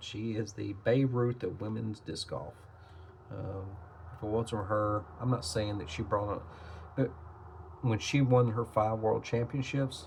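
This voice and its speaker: The man talks at a medium pitch and a moderate pace. His voice is somewhat breathy, with fairly even intonation. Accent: American. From Tennessee (Nashville). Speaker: trading card collector / YouTuber. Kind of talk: casual product review, card opening. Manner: casual, hesitant with fillers.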